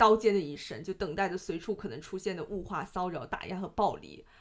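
Speaking with a Cantonese accent, a woman uses lively intonation at a medium pitch, with vocal fry. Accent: southern (Cantonese-accented) Mandarin. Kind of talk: casual book discussion.

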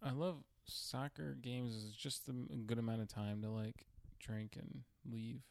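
A man with an American accent has an ordinary speaking voice at medium pitch. He moves at a moderate pace with lively intonation. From New York, Queens. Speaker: comedian. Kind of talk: casual chat.

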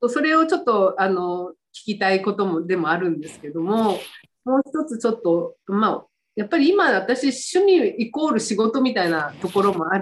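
At a moderate pace, a woman speaks at a fairly high pitch with very wide pitch swings. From Fukuoka, Japan. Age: 60s. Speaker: stylist. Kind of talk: casual interview.

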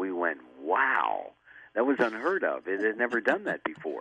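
This is a man with a normal speaking voice. He talks at a moderate pace and medium pitch. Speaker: sales pitch expert and author. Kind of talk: call-in radio interview. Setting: remote from home.

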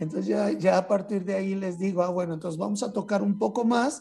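A man's high-pitched voice rises and falls with lively intonation at a moderate pace. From Mexico, San Luis Potosí. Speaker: flutist and composer. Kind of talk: interview.

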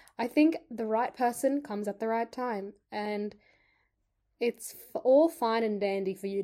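On a very clean recording with a silent background, a woman with an Australian accent speaks at a fairly high pitch in a dark, mellow tone, with ordinary pitch variation. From Sydney, Australia. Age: 20s. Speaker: podcast co-host. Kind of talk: casual chat.

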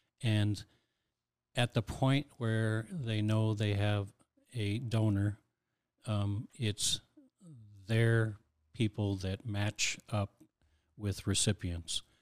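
A man's fairly low voice at a very slow pace, with fairly even intonation and long, frequent pauses. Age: 60s. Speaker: heart transplant recipient and volunteer. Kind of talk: casual interview chat.

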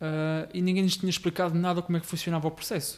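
A man is speaking. His pace is very fast. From Portugal, Rio Maior area (Ribatejo). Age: 20s. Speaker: local election candidate. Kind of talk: podcast interview.

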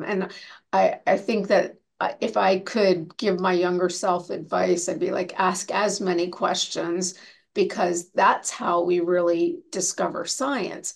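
A woman with a plain, everyday voice, medium pitch, fairly even intonation and a fairly slow pace. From Canada. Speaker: cardiologist. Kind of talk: interview.

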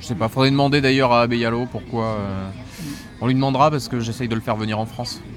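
Amid noticeable background noise, a man talks at a very fast pace and medium pitch with fairly even intonation. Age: 40s. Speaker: manga publisher. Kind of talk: interview. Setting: live in a record store. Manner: hesitant, many fillers.

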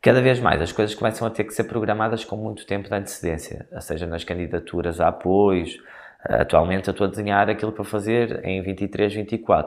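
A man with a fairly low voice talks at a moderate tempo, his pitch varying in an ordinary way, in a very clean recording with a silent background. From northern Portugal, Guimarães. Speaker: choreographer. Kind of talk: interview. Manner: hesitant, many fillers.

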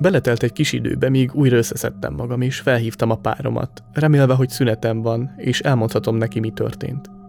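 With music in the background, a man of medium pitch talks at a fairly quick pace with ordinary pitch variation and hardly any pauses. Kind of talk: horror story narration. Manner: first-person, tense, eerie delivery.

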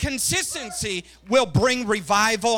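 In a very clean recording with a silent background, a man projects a raised voice at an extremely high pitch, his tone bright and sharp and his pace fairly slow. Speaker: missionary preacher. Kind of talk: Pentecostal revival sermon, rising exhortation with congregational call-and-response. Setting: church service with congregation. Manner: impassioned, repetitive hammering cadence building to climaxes.

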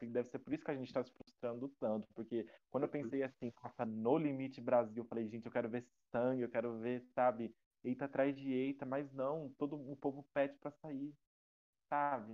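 With fairly even intonation, a normal speaking voice moves along at a fairly quick pace. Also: man. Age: 20s. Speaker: podcast guest, reality show fan. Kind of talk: casual chat.

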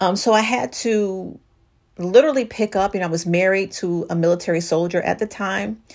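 Animated in tone, a woman speaks at a moderate pace with ordinary pitch variation. The recording is very clean, with a silent background. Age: 50s. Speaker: divorce coach and podcast host. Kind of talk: solo podcast talk.

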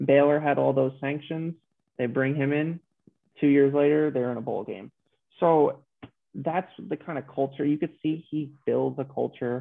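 A man has a plain, everyday voice with an American accent at a fairly high pitch. He talks at a moderate pace with fairly even intonation. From New York. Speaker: sports podcast guest, football writer. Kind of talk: casual chat.

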